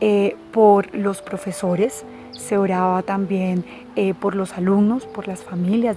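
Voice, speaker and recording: A woman with a Bogotá Colombian accent, fairly even intonation, and noticeable background noise. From Colombia, Bogotá. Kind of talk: religious teaching talk.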